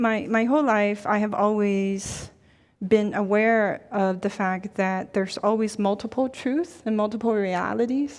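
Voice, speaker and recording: A woman speaks fairly slowly with a Chinese accent and fairly even intonation. The background is quiet. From China, then Ohio from age eleven. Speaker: university dean. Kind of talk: panel conversation.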